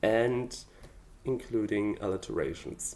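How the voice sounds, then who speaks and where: The speaker talks at a very slow pace with a German accent. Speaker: amateur songwriter. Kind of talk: casual vlog explanation. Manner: hesitant, with fillers.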